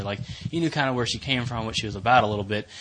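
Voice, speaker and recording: A man's ordinary speaking voice at a medium pitch, with fairly even intonation. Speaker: podcast co-host.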